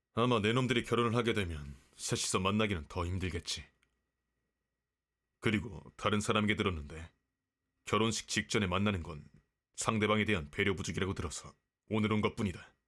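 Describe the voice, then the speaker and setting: Putting on a gruff character voice, a man talks at a fairly quick pace and fairly low pitch, broken by long, frequent pauses. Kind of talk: romance roleplay ASMR. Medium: virtual streamer. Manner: gruff, archaic, blunt.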